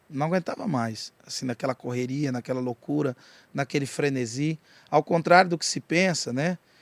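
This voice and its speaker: On a very clean recording with a silent background and a dry, close sound with no echo, a man in an unremarkable speaking voice talks at a moderate pace with fairly high pitch and ordinary pitch variation. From Goiás, Brazil (Jataí). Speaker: rapper and pastor. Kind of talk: casual chat.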